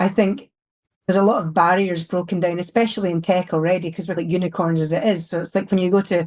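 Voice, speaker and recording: Delivered at a very fast pace in a Scottish accent, the speech keeps a fairly even intonation against a quiet background. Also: woman. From Scotland, Glasgow. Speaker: security executive. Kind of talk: podcast interview. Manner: blunt, open.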